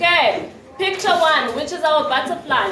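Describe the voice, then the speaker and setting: Room echo is audible. Background noise is noticeable too. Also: woman. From South Africa, township. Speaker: student teacher. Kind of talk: interview; classroom teaching.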